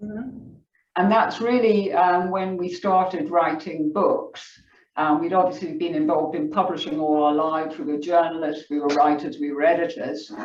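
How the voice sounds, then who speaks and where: With lively intonation, a woman speaks at a moderate pace and fairly low pitch, and the room echo is audible. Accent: strong English. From England. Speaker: author. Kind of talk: book club discussion.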